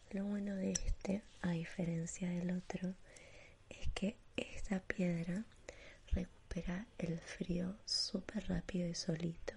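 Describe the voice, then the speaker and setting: A woman speaks at a very slow pace in a soothing, calm tone that is dark, mellow and somewhat breathy. Her medium pitch stays monotone, with flat intonation. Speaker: ASMR artist. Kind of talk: ASMR personal-attention roleplay, whispered, facial spa treatment. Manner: whispered, hushed, breathy and slow, with gentle diminutives; soothing, lulling, calm, reassuring tone.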